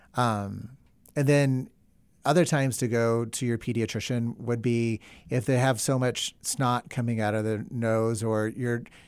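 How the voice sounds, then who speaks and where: At a moderate pace, a man with an American accent and an unremarkable speaking voice talks at a medium pitch in a very clean recording with a silent background. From US South. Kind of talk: interview. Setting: studio.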